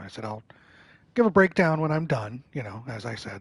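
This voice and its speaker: A man speaks against a quiet background. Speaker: gaming streamer. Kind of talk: live game stream commentary. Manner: low-key.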